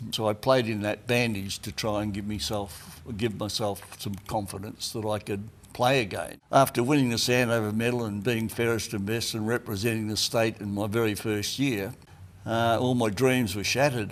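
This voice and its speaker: A man with an Australian accent at a medium pitch, moderate pace and fairly even intonation. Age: 80s+. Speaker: retired football player and coach. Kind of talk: interview reminiscence.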